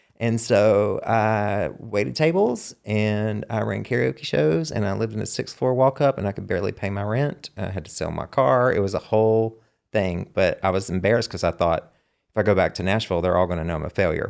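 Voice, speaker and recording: On a very clean recording with a silent background, a man with a Southern US accent talks at a fairly quick pace in a fairly low voice with lively intonation. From US South. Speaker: songwriter and singer. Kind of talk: casual chat.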